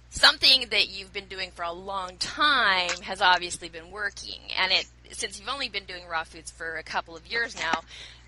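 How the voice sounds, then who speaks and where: A woman at a medium pitch talks at a moderate pace with hardly any pauses, ordinary pitch variation and big swings in loudness, over noticeable background noise. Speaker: online magazine editor and interviewer. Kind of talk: interview questions.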